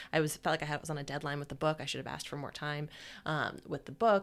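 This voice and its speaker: A woman speaks at a very deep, low pitch. The recording is very clean, with a silent background. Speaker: podcast host and career coach. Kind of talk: casual chat, personal storytelling.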